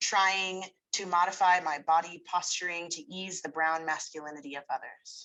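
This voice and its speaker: A woman's bright, sharp voice, fairly low-pitched with an American accent, over a quiet background. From San Francisco Bay Area, California. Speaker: writer and poet. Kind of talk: reading aloud.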